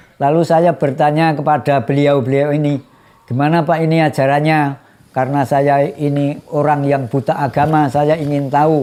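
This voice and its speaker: A man's fairly high voice in a monotone, flat intonation. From Gunung Kidul, Yogyakarta, Java. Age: 70s. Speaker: elderly villager. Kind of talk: interview testimony.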